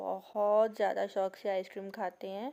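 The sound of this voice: A soft-spoken woman's voice with a dark, mellow tone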